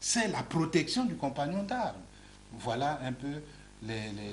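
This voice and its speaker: In audible room echo, a fairly high-pitched man talks at a very slow pace with very wide pitch swings. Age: 60s. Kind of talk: TV interview. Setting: TV studio. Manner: repetitive stammering on words.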